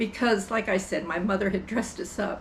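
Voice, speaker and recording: A woman with an American accent and a fairly high pitch is heard with audible room echo. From US Midwest, Brighton, Illinois. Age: 80s+. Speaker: storyteller. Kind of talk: casual chat.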